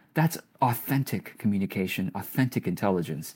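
Lively intonation at a moderate pace on a very clean recording with a silent background. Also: man. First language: not English. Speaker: business coach. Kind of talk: casual interview chat. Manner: warm, hesitant with repeats.

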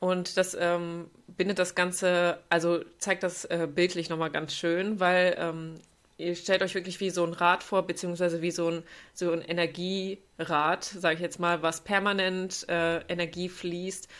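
In a very clean recording with a silent background, a woman with a fairly low pitch talks at a fairly slow pace in a monotone, flat intonation. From Germany, North Rhine-Westphalia. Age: 20s. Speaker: yoga teacher. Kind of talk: casual chat.

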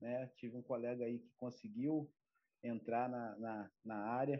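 A man's voice at a medium pitch. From Brazil, Campos dos Goytacazes (Rio de Janeiro state). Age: 30s. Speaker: ROV operator trainee. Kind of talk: interview. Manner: halting, many fillers and repetitions.

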